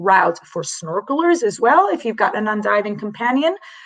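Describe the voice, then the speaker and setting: This woman's medium-pitched voice swings very widely in pitch. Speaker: dive resort representative. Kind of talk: online presentation. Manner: fast.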